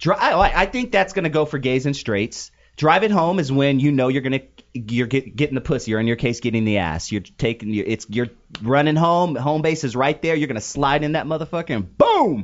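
This man's voice sits at a fairly high pitch. His intonation is lively and his tone animated. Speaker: radio host. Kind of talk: casual banter, comedic talk show. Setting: live studio broadcast. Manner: animated, joking, profane.

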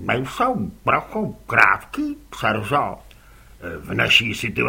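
Someone reads plainly out loud. Nothing more is done than reading the words.

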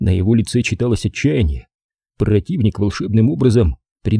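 With quiet surroundings, the plain reading aloud carries ordinary pitch variation.

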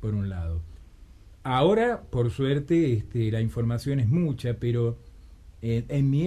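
A man with a dark, mellow tone talks at a fairly slow pace, his pitch swinging widely.

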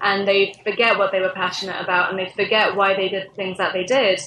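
Her pace is fairly quick and her pitch is medium. The woman's intonation stays monotone and flat. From England. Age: 20s. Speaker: social media manager at a games startup. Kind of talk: interview.

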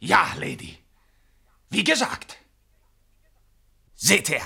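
A man puts on a character voice, fairly high in pitch with big pitch swings, a bright, sharp tone, a husky, rough edge and vocal fry. He speaks at a very slow pace.

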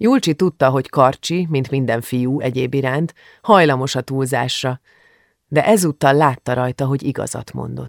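Reading aloud in a natural voice with ordinary pitch variation, against a quiet background

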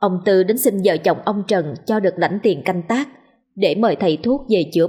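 Over a quiet background comes an unforced reading voice whose pitch shows ordinary variation.

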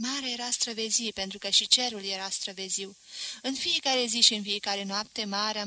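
A natural voice reading aloud

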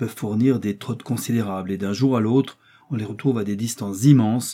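The pitch varies in an ordinary way across a natural reading voice.

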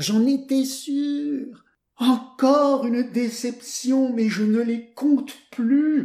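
A put-on character voice, high in pitch and very slow, with a slight echo. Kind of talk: theatrical, dramatic. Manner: groaning, weary, disappointed.

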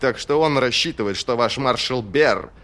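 Words are read from a page. The voice doing it sounds natural.

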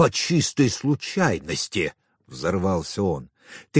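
Against a quiet background, someone is reading. The delivery is natural, like reading aloud in an ordinary voice.

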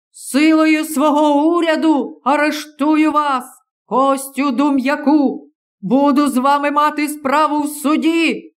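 Someone shouts in a high voice at a fairly slow pace. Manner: shouted, threatening.

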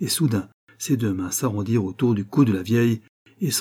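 Quiet background behind plain reading aloud

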